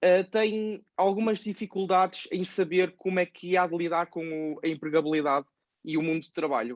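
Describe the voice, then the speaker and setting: The man speaks at a moderate pace with a high pitch. The background is quiet. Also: ordinary pitch variation, dry, close sound with no echo. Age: 20s. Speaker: podcast host, personal finance youtuber. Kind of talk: interview. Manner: hesitant, many fillers.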